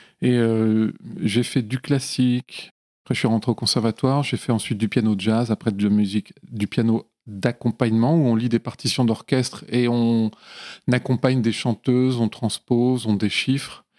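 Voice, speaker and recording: On a very clean recording with a silent background and a dry, close sound with no echo, a man talks at medium pitch and moderate pace, with fairly even intonation and very even loudness. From Lyon area, France. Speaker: film composer. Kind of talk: casual interview. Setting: home studio. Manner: hesitant, with frequent fillers.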